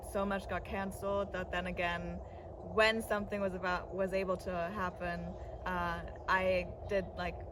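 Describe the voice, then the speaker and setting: A woman with a German accent speaks at a moderate pace and medium pitch in a monotone, flat intonation. Noticeable background noise and audible room echo surround her. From Berlin, Germany. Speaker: singer and electronic music producer. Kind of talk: interview. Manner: casual, many fillers.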